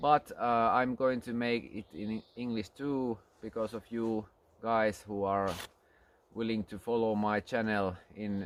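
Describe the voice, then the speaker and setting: A man's fairly low voice in a Finnish accent, at a very slow pace. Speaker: archery instructor. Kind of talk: tutorial. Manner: halting.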